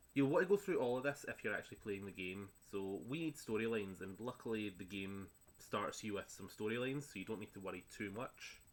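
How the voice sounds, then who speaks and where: A man with a Scottish accent speaks very fast in a fairly low voice. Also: ordinary pitch variation. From Scotland. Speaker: gaming streamer. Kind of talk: gameplay tutorial commentary. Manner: relaxed, with frequent filler words.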